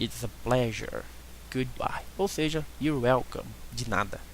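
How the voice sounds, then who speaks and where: A man is heard here. His speech moves at a fairly slow pace. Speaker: online English tutor. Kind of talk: language lesson.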